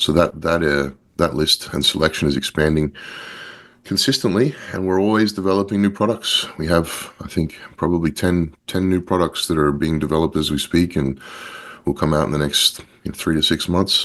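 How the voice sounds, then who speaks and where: A man with a slight Australian accent speaks at a moderate pace, his pitch very deep and low with ordinary variation. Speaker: company founder. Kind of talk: interview. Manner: halting, many repetitions and fillers.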